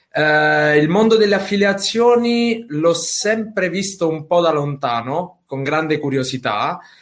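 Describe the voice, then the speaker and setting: A man talks with hardly any pauses. His voice is high-pitched. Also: lively intonation, fairly slow pace. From Sicily. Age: 20s. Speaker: affiliate marketer. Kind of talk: interview. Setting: live video stream.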